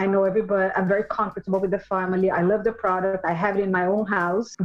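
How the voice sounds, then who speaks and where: Over noticeable background noise, a woman speaks with a Portuguese accent. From Brazil, Sao Paulo. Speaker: store owner, former banker. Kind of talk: interview. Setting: remote recording from the Hamptons.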